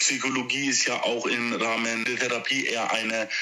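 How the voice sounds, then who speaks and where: Music plays behind a man's voice, and the room echo is audible. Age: 20s. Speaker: social worker. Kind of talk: interview. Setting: phone call.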